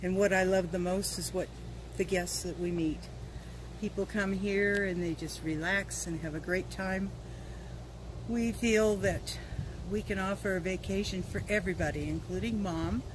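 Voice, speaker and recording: Over noticeable background noise, a woman speaks at a moderate pace with long, frequent pauses. The sound is dry with no echo. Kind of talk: interview answer. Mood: warm, cheerful. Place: street.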